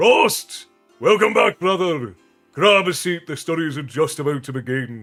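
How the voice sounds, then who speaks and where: A man uses a booming, raised, projected put-on character voice at a fairly high pitch, with lively intonation and big swings in loudness. He keeps a moderate pace over faint music in the background. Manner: loud, hearty welcome.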